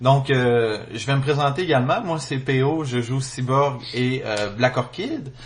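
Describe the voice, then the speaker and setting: Very slow, somewhat breathy speech from a man with a Quebec accent and fairly even intonation. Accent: Québécois. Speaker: podcast host. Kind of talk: casual chat. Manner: hesitant, many fillers.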